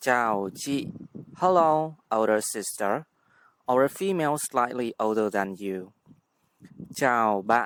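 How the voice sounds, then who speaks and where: Here a man talks at a very slow pace. He has a Vietnamese accent. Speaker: language teacher. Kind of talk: tutorial.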